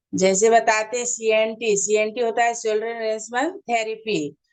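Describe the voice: A woman speaks at a fairly high pitch with little pitch movement. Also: moderate pace.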